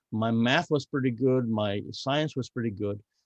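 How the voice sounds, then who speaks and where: In a Spanish accent, a man talks with ordinary pitch variation, the sound dry and close with no echo. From Cuba. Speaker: navy veteran. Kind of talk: podcast interview. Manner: halting, with repeated words.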